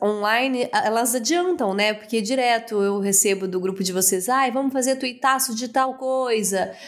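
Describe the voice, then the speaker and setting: Fairly high in pitch, a woman speaks in a plain, everyday voice at a moderate pace with ordinary pitch variation. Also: hardly any pauses. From Brazil, interior of Minas Gerais. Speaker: podcast host. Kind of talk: interview.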